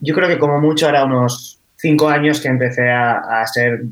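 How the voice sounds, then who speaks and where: A man talks at a fairly slow pace. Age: 20s. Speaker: copywriter and stand-up comedian. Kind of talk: round-table discussion. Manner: halting, many repetitions.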